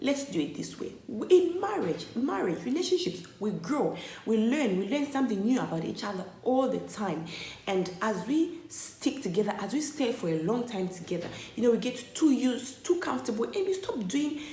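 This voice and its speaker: A woman with a fairly high pitch, very wide pitch swings and an animated tone at a moderate pace, amid noticeable background noise and audible room echo. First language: not English. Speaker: vlogger. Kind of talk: opinion vlog monologue.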